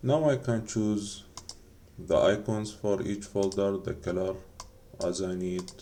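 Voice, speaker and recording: The speech comes very slowly, with a non-native accent. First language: not English. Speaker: game developer. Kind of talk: tutorial. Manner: halting.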